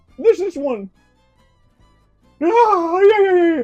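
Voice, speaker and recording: A cartoonish character voice plays over faint music in the background. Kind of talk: puppet comedy. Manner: angry, brash.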